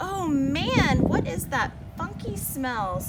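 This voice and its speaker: Over loud background noise, a woman puts on a character voice. She speaks at a very slow pace. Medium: read story. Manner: sly, smooth.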